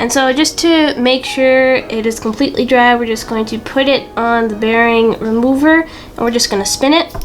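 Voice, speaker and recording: This woman's high-pitched voice has ordinary pitch variation, with noticeable background noise behind it. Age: young. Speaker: YouTuber. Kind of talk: casual how-to tutorial. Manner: casual, chatty.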